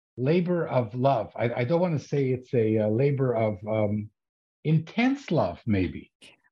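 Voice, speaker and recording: A man's somewhat breathy voice with very wide pitch swings at a fairly slow pace. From Ottawa, Canada. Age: 70s. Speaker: podcast interviewer. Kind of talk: interview. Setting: video call.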